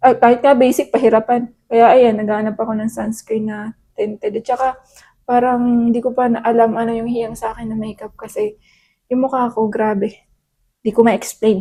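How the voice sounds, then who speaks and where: Speaking fairly quickly, a woman with a fairly high pitch and a dark, mellow tone keeps a monotone, flat intonation. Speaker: beauty vlogger. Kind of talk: product haul vlog. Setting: at home. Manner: casual, code-switching.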